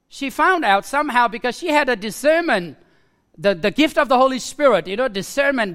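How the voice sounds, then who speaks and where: A man with a Nepali accent speaks in a raised, projected voice at an extremely high pitch, his bright, sharp tone carried by lively intonation. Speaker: preacher. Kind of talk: sermon. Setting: church.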